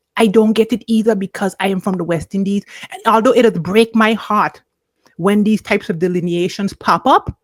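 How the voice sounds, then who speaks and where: Animated in tone, a woman with an American accent talks at a fairly quick pace and medium pitch, recorded dry and close with no echo. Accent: Virgin Islands accent, switches to it here. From US Virgin Islands. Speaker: podcast host. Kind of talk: casual commentary monologue.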